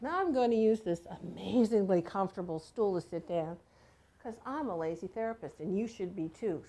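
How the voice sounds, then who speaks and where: A woman speaks in an unremarkable speaking voice. Her intonation is lively. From Washington State, US. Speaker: massage therapy instructor. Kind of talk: instructional demonstration.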